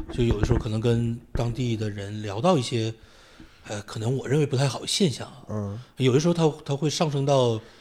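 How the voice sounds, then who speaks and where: A man's unremarkable speaking voice at a medium pitch, fairly quick in pace, with ordinary pitch variation and big swings in loudness. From Northeast China, Shenyang (Tiexi district). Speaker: university lecturer and poet. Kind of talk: casual conversation.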